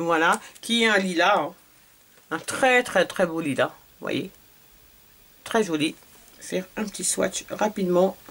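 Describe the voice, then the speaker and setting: With long, frequent pauses, a woman of medium pitch talks at a very slow pace and with ordinary pitch variation. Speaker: beauty vlogger. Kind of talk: product haul review. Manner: hesitant, many fillers.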